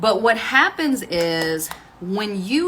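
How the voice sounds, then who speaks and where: Amid noticeable background noise, a woman with a fairly high pitch sounds animated, her voice making very wide pitch swings. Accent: American. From Texas, Waco. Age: 40s. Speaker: online business and music coach. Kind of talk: casual livestream talk while getting ready. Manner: conversational, animated.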